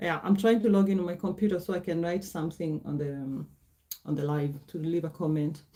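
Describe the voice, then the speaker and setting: With a Kenyan accent, a woman speaks at a fairly low pitch with ordinary pitch variation. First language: Gikuyu. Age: 40s. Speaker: livestreamer. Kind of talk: casual livestream chat. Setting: livestream at computer. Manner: halting.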